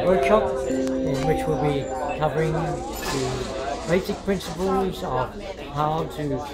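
A man at a very slow pace amid loud background noise. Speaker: osteopath and lifestyle consultant. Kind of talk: workshop announcement talk. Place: cafe.

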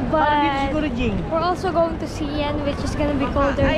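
A woman speaks at a fairly slow pace. Crowd noise can be heard in the background. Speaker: travel vlogger. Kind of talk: casual vlog chat. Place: street. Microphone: phone near.

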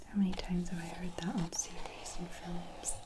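The speaker is soft-spoken and moves at a moderate pace against loud background noise. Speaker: taste test host. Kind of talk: soft relaxing taste test chat. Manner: soft-spoken, hushed ASMR voice.

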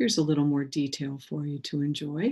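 Speaking at a fairly quick pace, a woman has a low pitch, a slightly mellow tone with a slightly husky edge, and ordinary pitch variation.

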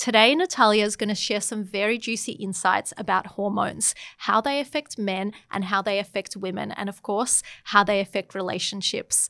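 A woman speaks with a bright, sharp tone. The background is quiet. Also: fairly even intonation, moderate pace. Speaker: podcast host. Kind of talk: podcast intro and interview question. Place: studio. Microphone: studio mic.

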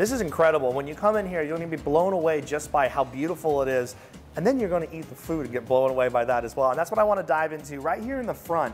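A man speaks very fast while faint music plays behind him. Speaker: TV food show host. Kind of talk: food review commentary. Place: cafe. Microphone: lapel.

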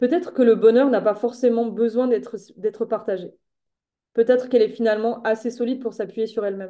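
Woman's dark, mellow voice at a fairly high pitch and fairly quick pace, with fairly even intonation against a quiet background. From French Alps (France); France. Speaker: novelist; guest. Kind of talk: interview. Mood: thoughtful, calm. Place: home room. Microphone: webcam.

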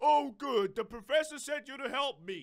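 A man's put-on character voice, extremely high in pitch, at a moderate pace. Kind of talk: reading game dialogue aloud. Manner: made-up character voice.

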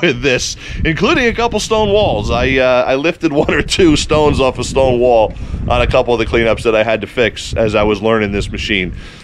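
A man keeps a moderate pace while light background noise runs behind him. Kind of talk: casual product review vlog. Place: open country. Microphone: phone near.

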